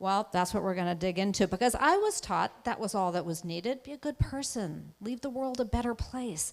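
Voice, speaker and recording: Her intonation lively, a woman speaks at medium pitch and a moderate pace. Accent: New England. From Massachusetts. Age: 60s. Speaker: anti-racism speaker. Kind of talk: keynote talk. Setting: auditorium with audience.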